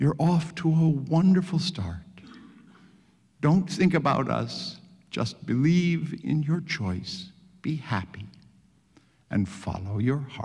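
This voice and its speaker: A man puts on a character voice at a fairly high pitch, sounding shaky. He talks fairly slowly, with long, frequent pauses. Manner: gentle, encouraging.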